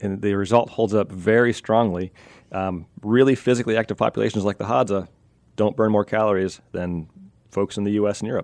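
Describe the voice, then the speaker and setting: A man with an American accent and an unremarkable speaking voice, fairly low in pitch, with fairly even intonation at a moderate pace. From US, western Pennsylvania. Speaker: evolutionary anthropologist, professor. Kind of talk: radio interview.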